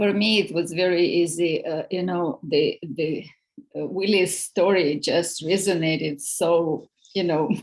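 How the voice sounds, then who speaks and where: A woman speaks at a fairly slow pace with a non-native accent. Her pitch is fairly low. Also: ordinary pitch variation. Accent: noticeable foreign. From outside the US. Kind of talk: group discussion.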